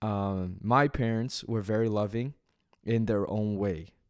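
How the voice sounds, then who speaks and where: With a Canadian accent, a man speaks very slowly in a fairly low voice with fairly even intonation, recorded very cleanly against a silent background. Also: long, frequent pauses. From Canada, Toronto. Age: 20s. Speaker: podcast co-host. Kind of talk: casual chat.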